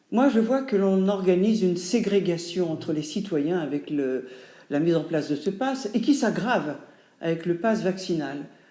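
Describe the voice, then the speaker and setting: With a medium pitch and a dark, mellow tone, a woman speaks with lively intonation at a moderate pace. Audible room echo can be heard. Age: 70s. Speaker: actress and writer. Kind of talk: testimony.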